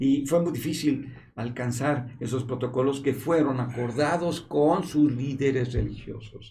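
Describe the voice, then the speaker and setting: A man talks fairly slowly at a medium pitch, with hardly any pauses. His intonation stays fairly even. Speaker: epidemiologist. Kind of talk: panel discussion on a medical talk show. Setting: studio in a hospital.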